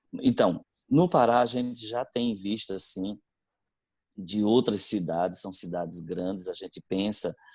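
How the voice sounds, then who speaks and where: Fairly low in pitch, a man speaks with a northeastern Brazilian accent. His pace is fairly slow, with ordinary pitch variation. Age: 40s. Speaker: religious brother, school director. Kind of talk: interview. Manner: halting, many fillers.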